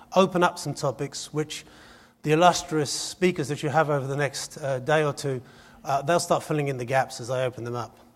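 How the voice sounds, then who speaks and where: A man's fairly high, somewhat breathy voice at a fairly quick pace, with ordinary pitch variation, on a very clean recording with a silent background. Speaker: conference speaker. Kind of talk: conference presentation. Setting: stage with audience. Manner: fast.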